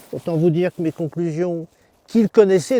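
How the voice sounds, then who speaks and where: Recorded dry and close with no echo, a man speaks at a moderate pace in a high pitch. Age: 60s. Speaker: farmer. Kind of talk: farm tour talk. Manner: hesitant, many fillers.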